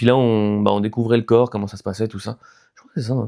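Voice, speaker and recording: A man speaks very fast in a fairly low, dark, mellow voice. His intonation is monotone and flat, and the sound is dry and close with no echo. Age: 30s. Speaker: YouTuber sharing mental health experience. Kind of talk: casual vlog monologue. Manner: hesitant, many fillers.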